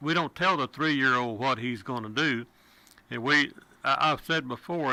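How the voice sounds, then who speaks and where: Talking with a Texan accent, a man has a medium pitch, a bright, sharp tone, ordinary pitch variation and a moderate pace, on a very clean recording with a silent background. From Texas. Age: 70s. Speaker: radio talk show host. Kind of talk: talk radio.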